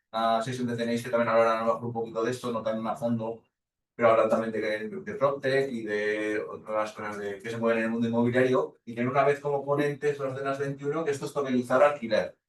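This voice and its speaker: Fairly quick speech from a man, pitched in the medium range. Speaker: lecturer. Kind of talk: lecture. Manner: fast.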